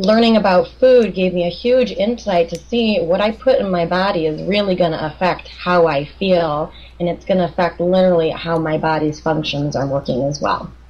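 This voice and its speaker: A woman with a Chicago accent, fairly low pitch, ordinary pitch variation and a moderate pace, over noticeable background noise. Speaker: clinical nutritionist. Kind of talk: interview.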